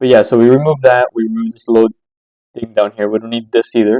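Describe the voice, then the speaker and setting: The voice belongs to a man, medium in pitch with a dark, mellow tone. The sound is dry and close, with no echo. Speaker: stock trading chart analyst. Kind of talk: tutorial. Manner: fast.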